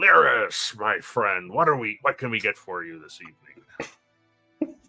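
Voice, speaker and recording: Using a put-on character voice, a man speaks at medium pitch and a fairly slow pace. His loudness swings widely, with faint music in the background. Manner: pirate-ish.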